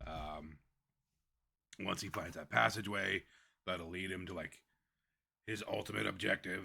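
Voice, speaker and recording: Using a put-on character voice, a man speaks very deep and low, raspy, at a moderate pace with long, frequent pauses. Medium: actual play. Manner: casual, halting, filler-heavy.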